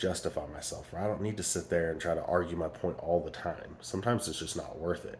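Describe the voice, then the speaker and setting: This man has a very deep, low pitch and ordinary pitch variation. He talks at a fairly quick pace. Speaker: parenting vlogger. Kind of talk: casual vlog monologue. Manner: volume trails off then gets loud again; hesitant, many fillers.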